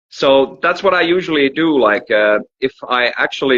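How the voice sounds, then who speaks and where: Medium in pitch with ordinary pitch variation, a man with a Finnish accent speaks at a moderate pace. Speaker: musician. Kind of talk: casual chat. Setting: livestream video call.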